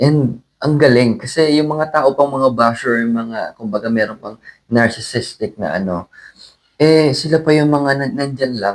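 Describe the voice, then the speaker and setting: A man talks at a fairly slow pace in an unremarkable speaking voice, medium in pitch with ordinary pitch variation. His loudness swings widely. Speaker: singer. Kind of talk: interview.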